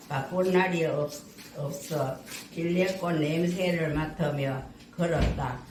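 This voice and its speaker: Against noticeable background noise, a woman speaks very slowly at a fairly low pitch with fairly even intonation. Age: 80s+. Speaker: senior center member. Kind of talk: poetry reading. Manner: clear, careful, raised voice.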